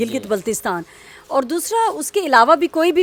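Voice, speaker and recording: Music plays in the background behind a woman. Her high voice has lively intonation. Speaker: interviewer, show host. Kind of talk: interview questions.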